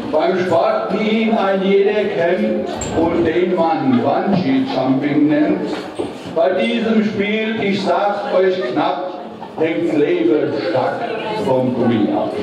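At a very slow pace, someone speaks amid strong room echo and noticeable background noise. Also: man. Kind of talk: carnival rhymed comic speech. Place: hall.

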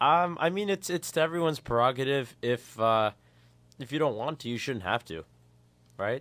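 A man's intonation is lively as he talks at a moderate pace. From Canada. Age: 20s. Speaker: radio co-host. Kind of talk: casual radio chat. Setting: radio studio. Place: studio. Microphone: studio mic.

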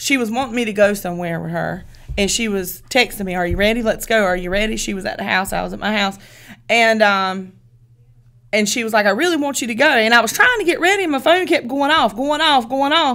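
Against a quiet background, a voice with a Southern US accent has a bright, sharp tone and lively intonation. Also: woman, fairly high pitch for a woman. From US South. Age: 40s. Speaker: podcast co-host. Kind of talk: casual chat. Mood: amused, animated storytelling. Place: studio. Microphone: studio mic.

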